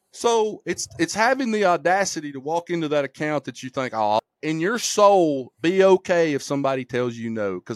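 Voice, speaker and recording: A man with an Alabama accent at a moderate pace, his pitch swinging very widely, in a dry, close sound with no echo on a very clean recording with a silent background. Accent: Southern US (Alabama). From US South, rural Alabama. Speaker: insurance agency owner. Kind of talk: casual chat. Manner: animated.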